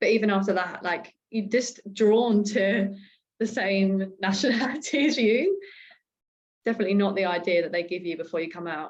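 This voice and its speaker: A woman with a slight Australian accent talks at a moderate pace, her medium pitch showing ordinary variation. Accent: slight Australian tinge. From UK. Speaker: podcast co-host. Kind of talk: casual chat.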